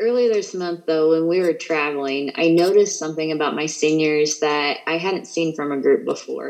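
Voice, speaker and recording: With a Midwestern American accent, a woman talks at a moderate pace in a very deep, low pitch, with ordinary pitch variation and hardly any pauses. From central Indiana. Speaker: Spanish teacher. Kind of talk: casual interview. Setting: live radio show.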